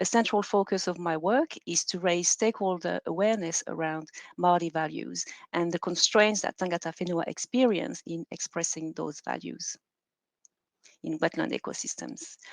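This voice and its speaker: Speaking with a French accent, a woman uses a fairly low pitch and ordinary pitch variation at a moderate pace. The sound is dry and close with no echo over a quiet background. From France, Normandy. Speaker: PhD researcher. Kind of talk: conference presentation.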